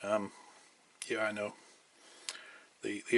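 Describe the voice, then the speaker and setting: Very fast male speech amid noticeable background noise. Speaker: model railway hobbyist. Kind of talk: hobby tutorial talk.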